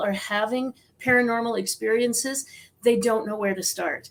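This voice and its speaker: Fairly quick and fairly high-pitched, a woman talks in an ordinary speaking voice. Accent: American. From US Midwest, South Dakota. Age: 60s. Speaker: psychic medium and author. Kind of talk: interview.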